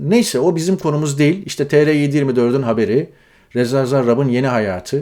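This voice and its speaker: Pitched fairly high, a man's dark, mellow voice moves at a moderate pace. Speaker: news commentator. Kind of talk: news commentary monologue. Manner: conversational, frequent filler hesitations.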